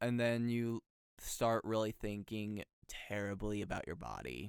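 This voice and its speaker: Here a man speaks in a dry, close sound with no echo. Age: young. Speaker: voice actor. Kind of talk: interview answer.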